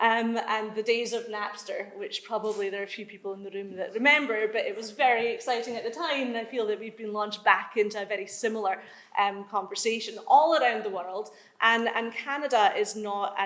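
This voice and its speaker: Fairly quick, fairly even speech from a woman with a Scottish accent, fairly high in pitch, with audible room echo. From Scotland. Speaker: law professor. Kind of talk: conference talk. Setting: conference room with audience.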